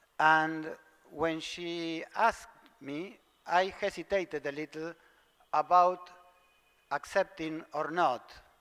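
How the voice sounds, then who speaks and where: Very slow speech in a Spanish accent, with fairly even intonation, big swings in loudness, and long, frequent pauses. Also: man, fairly high pitch for a man. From Argentina. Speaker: theosophical lecturer. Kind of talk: lecture. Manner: halting, hesitant.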